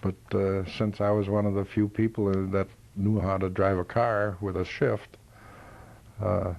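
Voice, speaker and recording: Monotone, flat intonation at a fairly slow pace, with very even loudness throughout. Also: man, fairly low pitch for a man. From Minnesota, US Upper Midwest. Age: 70s. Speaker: war veteran. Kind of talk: oral history interview. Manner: halting, many fillers.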